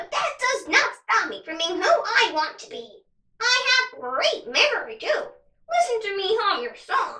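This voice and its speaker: A woman puts on a squeaky character voice at an extremely high pitch. She projects it loudly at a moderate pace. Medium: read story.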